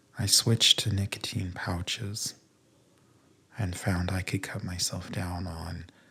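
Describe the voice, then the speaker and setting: Soft-spoken and fairly slow, a man talks in a very deep, low, monotone voice with flat intonation and a bright, sharp tone. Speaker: ASMR podcaster. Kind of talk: soft-spoken sleep podcast talk.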